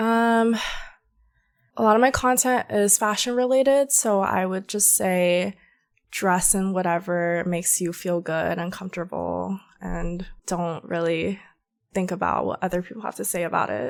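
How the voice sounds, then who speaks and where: Speaking in an American accent, a woman with a normal speaking voice holds a medium pitch, ordinary pitch variation and a moderate pace. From US South, Georgia. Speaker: content creator. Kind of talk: casual chat.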